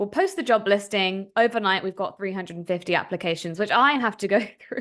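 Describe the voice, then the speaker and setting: Over a quiet background, a woman with an American accent and a medium pitch speaks at a very fast pace with ordinary pitch variation. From Philadelphia area, US. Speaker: tech startup founder and CEO. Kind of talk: interview.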